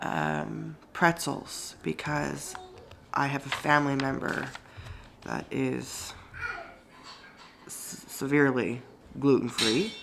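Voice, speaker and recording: A woman speaks at a very slow pace with long, frequent pauses, against noticeable background noise and audible room echo. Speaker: family vlogger. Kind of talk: casual vlog talk.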